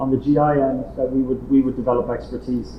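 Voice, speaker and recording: Amid noticeable background noise and audible room echo, a man at fairly high pitch talks at a fairly quick pace. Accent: Irish. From Ireland. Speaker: international organization director. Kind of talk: conference speech. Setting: hybrid roundtable, in-person audience and online call. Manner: repetitive false starts.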